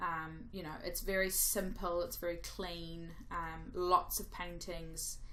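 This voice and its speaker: A woman at a very slow pace, with audible room echo. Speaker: gaming youtuber. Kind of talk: gameplay commentary voiceover. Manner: rambling, casual.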